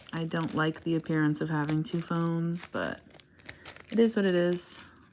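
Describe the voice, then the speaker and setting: A woman's fairly low voice with long, frequent pauses and noticeable background noise. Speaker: craft livestreamer. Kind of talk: casual livestream chat while crafting. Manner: quiet, soft-spoken.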